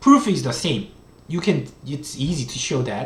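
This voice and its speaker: Someone talks with a Korean accent. The pace is moderate. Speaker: economics professor. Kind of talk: lecture. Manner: halting.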